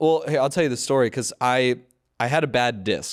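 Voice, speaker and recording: A voice with a Californian accent speaks at a moderate pace. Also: man. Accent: Californian American English. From US West Coast (San Fernando Valley, Los Angeles). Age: 30s. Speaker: comedian and podcast host. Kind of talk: casual chat. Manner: animated.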